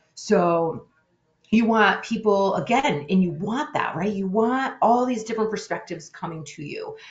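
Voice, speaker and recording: Amid audible room echo, a woman with a fairly high pitch talks at a moderate pace with lively intonation and big swings in loudness. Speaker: webinar presenter on conflict resolution. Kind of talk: webinar presentation.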